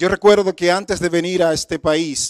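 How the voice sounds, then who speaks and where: A man with a Dominican accent talks at a moderate pace with ordinary pitch variation. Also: dry, close sound with no echo, very clean recording, silent background. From Dominican Republic. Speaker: guest preacher. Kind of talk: sermon. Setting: church service.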